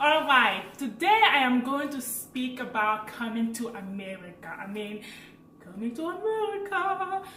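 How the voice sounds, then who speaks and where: Against noticeable background noise and audible room echo, a woman speaks fairly slowly in a high pitch with very wide pitch swings and big swings in loudness. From French-speaking Africa. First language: French. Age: 20s. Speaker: vlogger. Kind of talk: casual vlog storytelling.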